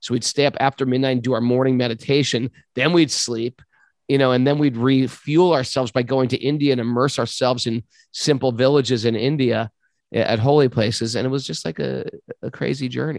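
A man with a New York accent speaks at a fairly quick pace in a medium pitch, his intonation fairly even over a quiet background. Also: dry, close sound with no echo. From US, New York City. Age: 50s. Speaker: yoga teacher. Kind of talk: interview.

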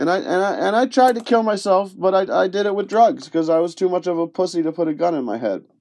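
At a very fast pace with hardly any pauses, a man with an American accent talks at high pitch with lively intonation. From Rochester, New York area (western New York). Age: 30s. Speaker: podcast host. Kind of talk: personal monologue. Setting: home recording in a closet. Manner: halting.

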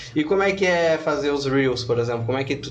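A man of medium pitch amid noticeable background noise and audible room echo. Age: 30s. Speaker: podcast host. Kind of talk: casual interview. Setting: studio.

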